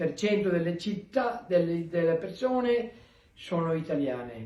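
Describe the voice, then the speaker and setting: Audible room echo surrounds a man who speaks at a fairly slow pace with a high pitch and lively intonation. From Veneto, Italy (Treviso area). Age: 80s+. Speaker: emigrant. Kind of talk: recorded video greeting.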